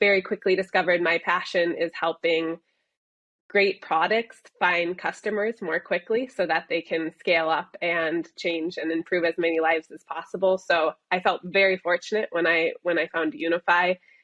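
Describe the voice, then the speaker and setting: A woman with a plain, everyday voice, fairly low pitch, fairly even intonation and a moderate pace. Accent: American. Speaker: software company executive. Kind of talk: interview.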